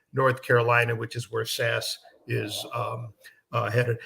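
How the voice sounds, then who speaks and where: This man speaks with an American accent. His tone is bright and sharp. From US Midwest, Chicago. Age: 70s. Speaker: performance management expert. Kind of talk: webinar interview.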